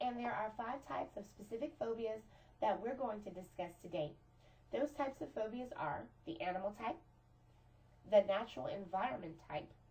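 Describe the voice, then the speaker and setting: Her intonation lively and her pitch fairly high, a woman speaks at a moderate pace. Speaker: teacher. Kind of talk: lecture.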